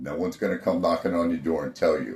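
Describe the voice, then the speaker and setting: A man with an American accent. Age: 60s. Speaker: army veteran, podcast host. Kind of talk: personal testimony and warning to fellow veterans. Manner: earnest, conversational.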